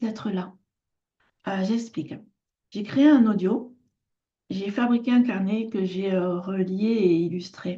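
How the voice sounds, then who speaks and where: A woman speaks at a very slow pace with long, frequent pauses, her medium-pitched voice somewhat breathy and dark and mellow in tone, with ordinary pitch variation. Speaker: artisan and lifestyle vlogger. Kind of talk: casual personal vlog talk. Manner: hesitant, many filler sounds.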